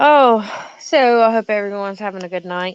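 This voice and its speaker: A woman speaks with a strong Southern US accent. The background is quiet. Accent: thick Southern. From Alabama, US South. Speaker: live streamer. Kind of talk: casual live stream chat. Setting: live stream, phone. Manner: animated.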